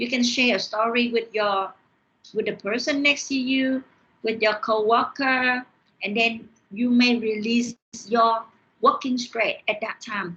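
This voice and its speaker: A woman with a Vietnamese accent, bright, sharp tone, fairly even intonation, fairly slow pace and long, frequent pauses. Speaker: university lecturer. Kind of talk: online lecture. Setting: online class via screen share. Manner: halting, with repeated words.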